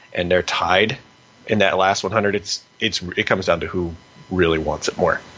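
With an American accent, a man speaks in a very deep, low pitch over noticeable background noise. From United States. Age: 20s. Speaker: PhD student and grappling competitor. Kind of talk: interview.

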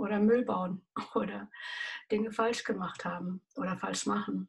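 A woman speaks in a somewhat breathy voice with fairly high pitch. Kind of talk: devotional talk.

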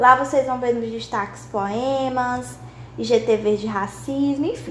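A woman speaks at a very slow pace amid noticeable background noise and audible room echo. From Brazil, Maranhão. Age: 20s. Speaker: podcast host, law student. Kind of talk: casual monologue.

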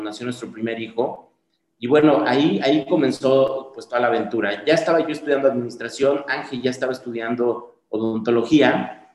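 A man at medium pitch, moderate pace and fairly even intonation, with an unremarkable speaking voice. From Mixteca region, Oaxaca, southern Mexico. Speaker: dental clinic founder and CEO. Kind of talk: interview.

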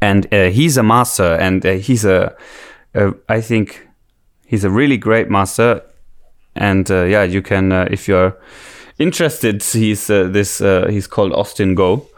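A man with a German accent speaks at a fairly slow pace and fairly low pitch, with ordinary pitch variation and very even loudness. The recording is very clean with a silent background. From Germany. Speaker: musician. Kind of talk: casual chat.

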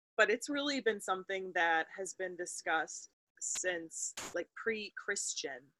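Speaking in an American accent, a woman with an unremarkable speaking voice and medium pitch talks at a fairly slow pace with ordinary pitch variation. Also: dry, close sound with no echo. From US Midwest, Wisconsin. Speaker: podcast co-host. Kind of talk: casual chat.

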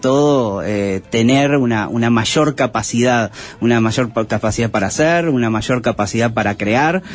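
Noticeable background noise sits behind a man speaking. His pitch is medium, with ordinary variation. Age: 30s. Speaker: AI software entrepreneur. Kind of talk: interview. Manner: halting.

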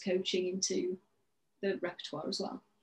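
Somewhat breathy, the voice proceeds at a moderate pace. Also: woman. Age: 40s. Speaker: dancer and business coach. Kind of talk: interview.

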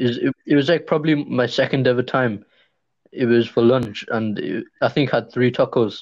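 A man's ordinary speaking voice at a medium pitch and moderate pace, with fairly even intonation over a quiet background. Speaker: podcast co-host. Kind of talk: casual banter.

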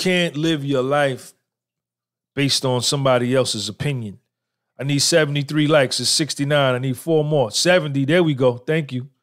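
This man has a normal speaking voice, fairly high in pitch, with fairly even intonation, a moderate pace, and a very clean recording with a silent background. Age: 50s. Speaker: podcaster. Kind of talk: live-stream monologue. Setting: live stream.

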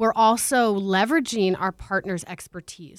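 With an American accent and an ordinary speaking voice, a woman talks at a moderate pace with fairly even intonation, in a very clean recording with a silent background and a dry, close sound with no echo. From Tucson, Arizona. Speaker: nonprofit director. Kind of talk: interview.

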